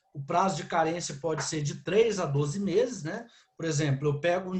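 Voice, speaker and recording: A man talks at a high pitch that varies in an ordinary way. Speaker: law lecturer. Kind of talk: lecture.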